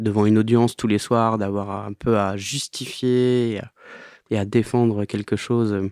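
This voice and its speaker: A man with a fairly low pitch speaks in monotone, flat intonation, recorded dry and close with no echo against a quiet background. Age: 30s. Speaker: band leader, musician. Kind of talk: interview. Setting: home studio. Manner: halting.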